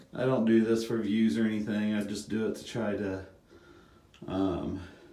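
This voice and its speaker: A man's fairly low, dark, mellow voice with monotone, flat intonation, at a moderate pace amid audible room echo. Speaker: home gardener vlogger. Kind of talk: casual video tour narration. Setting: outdoors in garden. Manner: quiet; hesitant, many fillers.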